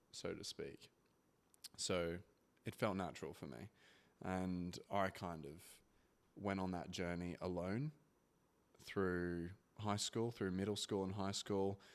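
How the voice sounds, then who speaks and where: A man with an Australian accent speaks very slowly in a relaxed tone, his voice very deep and low with ordinary pitch variation, on a very clean recording with a silent background. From Australia (Brisbane). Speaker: former athlete, father. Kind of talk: interview. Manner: relaxed, hesitant with fillers.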